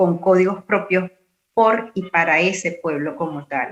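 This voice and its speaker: A woman talks in a plain, everyday voice at a medium pitch. Her intonation is fairly even. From Venezuela. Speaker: university lecturer and radio announcer. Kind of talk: conference talk.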